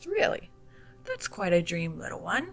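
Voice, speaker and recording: Clear music plays behind a guttural, put-on character voice delivered at a moderate pace. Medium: read story. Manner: slow, soft-spoken.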